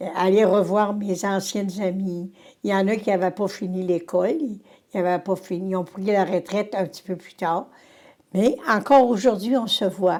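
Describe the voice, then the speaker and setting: A woman with a Quebec accent speaks at a moderate pace, her pitch medium and ordinarily varied. The recording is very clean, with a silent background. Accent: rural Quebec French. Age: 80s+. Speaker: retired teacher. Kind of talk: interview. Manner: halting.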